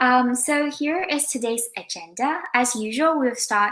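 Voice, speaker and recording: A woman speaks with a non-native accent. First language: not English. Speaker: career counseling volunteer host. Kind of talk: online interview.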